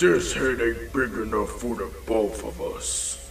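A man speaks in a put-on character voice at a fairly slow pace. Clear background noise runs underneath. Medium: dub.

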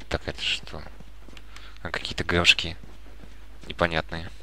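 Over noticeable background noise, a man speaks with a very deep, low pitch and a calm tone. His intonation is lively. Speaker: gaming YouTuber. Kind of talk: let's play commentary. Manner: calm, subdued commentary.

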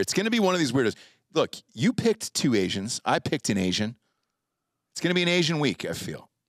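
A man with an American accent and vocal fry, at a very fast pace with very wide pitch swings, in a dry sound with no echo against a quiet background. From North Carolina. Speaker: podcast host. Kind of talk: casual chat; casual podcast banter. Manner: animated. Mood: joking, playful. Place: studio. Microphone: studio mic.

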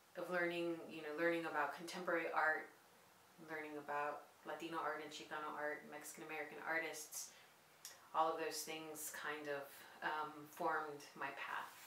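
A woman with a very deep, low voice speaks at a moderate pace in a monotone, flat way, with audible room echo and light background noise. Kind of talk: interview answer. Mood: calm, reflective. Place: studio.

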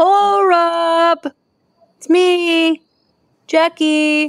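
An extremely high, squeaky put-on character voice. The intonation stays monotone and flat. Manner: playful, cartoonish.

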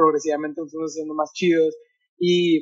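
Against a quiet background, the speech moves at a fairly quick pace with monotone, flat intonation. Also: man. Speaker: podcast guest. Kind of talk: interview answer. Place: home room. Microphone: video call.

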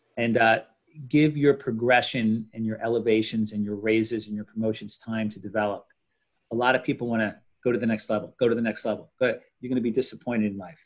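Against a quiet background, a man speaks at a very fast pace. His intonation stays fairly even. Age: 50s. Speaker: orthopaedic spine surgeon; guest. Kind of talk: interview. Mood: confident, advising. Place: home room. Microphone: video call.

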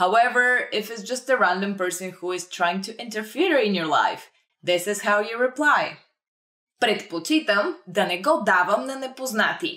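A woman with a Bulgarian accent, bright and sharp in tone, lively in intonation, at a moderate pace over a quiet background. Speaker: language teacher. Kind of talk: tutorial. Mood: friendly, smiling.

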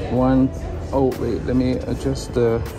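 Clear background music accompanies the man's speech. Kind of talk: casual directions during photoshoot. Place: cafe. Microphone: phone near.

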